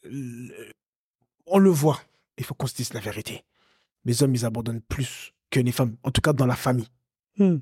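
A man speaks at a moderate pace and medium pitch with ordinary pitch variation, leaving long, frequent pauses. His voice is dark, mellow, and somewhat breathy, with a dry, close sound and no echo. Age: 30s. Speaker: podcast co-host, coach. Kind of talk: casual chat. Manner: halting.

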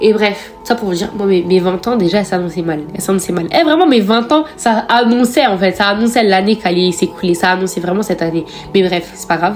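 Over noticeable background noise, a woman talks at a fairly quick pace. Her medium pitch shows ordinary variation. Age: 20s. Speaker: podcaster. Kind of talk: casual monologue. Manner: casual, hesitant with fillers.

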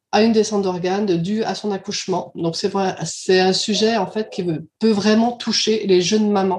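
A woman with an ordinary speaking voice talks at a medium pitch and a moderate pace, her intonation fairly even. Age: 50s. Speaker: childminder, club co-founder. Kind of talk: casual interview.

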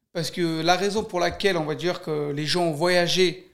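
The speaker is a man at a moderate pace. His voice is high in pitch. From Armenia, then Paris region, France. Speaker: professional boxer. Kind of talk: interview.

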